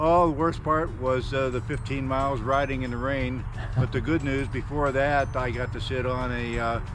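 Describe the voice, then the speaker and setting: A man with a medium-pitched voice speaks at a moderate pace in a monotone, flat intonation, with audible room echo and noticeable background noise. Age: 70s. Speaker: retired geologist, touring cyclist. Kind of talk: casual interview. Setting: outdoors. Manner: hesitant, many fillers.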